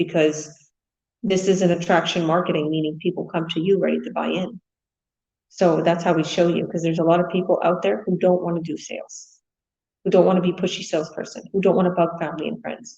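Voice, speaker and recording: Her voice sits fairly low, with a dark, mellow tone and vocal fry. She talks at a fairly quick pace. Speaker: online business coach. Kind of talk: live webinar talk. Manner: fast; casual, filler-heavy.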